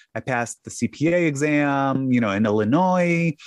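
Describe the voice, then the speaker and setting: A man with a Chicago accent talks at a fairly high pitch with ordinary pitch variation. The sound is dry and close with no echo, and the background is quiet. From US Midwest (south side of Chicago). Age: 50s. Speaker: podcaster and tax business owner. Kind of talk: casual chat.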